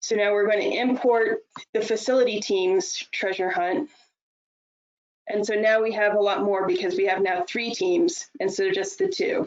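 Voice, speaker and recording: Over a quiet background, a woman with an ordinary speaking voice talks at a moderate pace and a fairly high pitch. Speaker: software presenter; presenter. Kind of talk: webinar software demo. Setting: online webinar.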